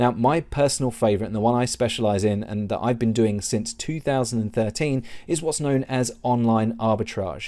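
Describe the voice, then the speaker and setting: The recording is very clean with a silent background, carrying a man's medium-pitched, dark, mellow voice with an English accent. He talks at a fairly quick pace with hardly any pauses and ordinary pitch variation. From England. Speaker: online seller and business coach. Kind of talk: tutorial.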